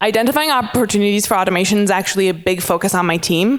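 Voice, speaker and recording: At a fairly quick pace, a woman talks with medium pitch. Her pitch variation is ordinary. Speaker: IT specialist presenting a workshop. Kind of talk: conference workshop presentation. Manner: fast.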